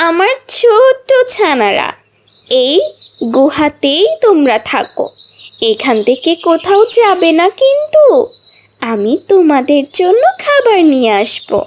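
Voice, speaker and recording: A cartoonish character voice drawls at a very slow pace with very wide pitch swings. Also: female-sounding voice, extremely high pitch for a woman. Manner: warm, affectionate.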